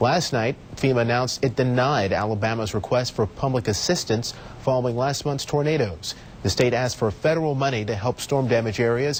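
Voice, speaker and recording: There is clearly audible noise in the background. Over it, a man talks fairly quickly. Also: very even loudness. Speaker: television news anchor and reporter. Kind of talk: television newscast anchor delivery.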